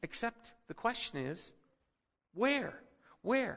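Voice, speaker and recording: A man with an American accent speaks in a raised, projected voice. His tone is bright and sharp. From Philippines. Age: 50s. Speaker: pastor. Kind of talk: sermon. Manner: halting.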